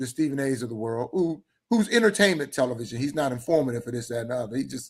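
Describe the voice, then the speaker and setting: This man speaks at a very fast pace with lively intonation. His pitch is medium. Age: 60s. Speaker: football fan debater. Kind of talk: casual sports debate.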